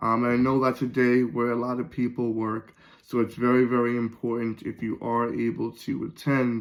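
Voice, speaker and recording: At a moderate pace, a man speaks at medium pitch in a monotone, flat intonation. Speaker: pastor. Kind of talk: church announcements and devotional talk. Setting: pre-recorded video. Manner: hesitant, many fillers.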